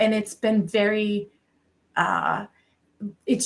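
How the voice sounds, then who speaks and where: A somewhat breathy woman's voice with an American accent. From Massachusetts, South Shore. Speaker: cannabis marketing director. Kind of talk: podcast interview. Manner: many fillers (um, you know).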